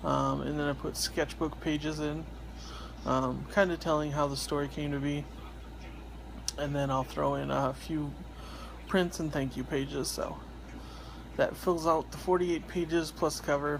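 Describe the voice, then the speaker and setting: A quiet man talks at a moderate pace. Long pauses come often. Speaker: independent comic artist and vlogger. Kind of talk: casual vlog monologue. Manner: hesitant, many fillers.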